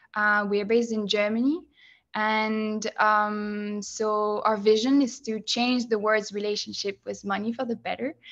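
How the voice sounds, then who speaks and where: Against a quiet background, a woman speaks at a fairly slow pace with a fairly high pitch and monotone, flat intonation. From France. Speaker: user researcher. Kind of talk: presentation. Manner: hesitant, many fillers.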